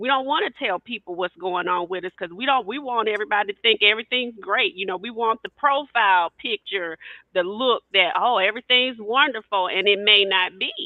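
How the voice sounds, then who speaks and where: Fairly quick, nearly pause-free speech from a woman, fairly high in pitch, with ordinary pitch variation and big swings in loudness. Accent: Southern US. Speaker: podcast co-host, educator. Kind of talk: panel discussion.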